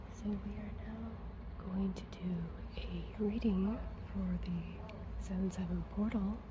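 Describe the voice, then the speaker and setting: Speech comes at a very slow pace. Noticeable background noise is present. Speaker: tarot reader. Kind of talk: ASMR tarot reading. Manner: whispered.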